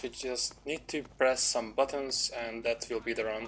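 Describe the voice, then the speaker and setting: At a moderate pace, a man with a non-native accent speaks at a medium pitch. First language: not English. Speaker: speedrunner. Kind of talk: gameplay commentary. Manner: halting.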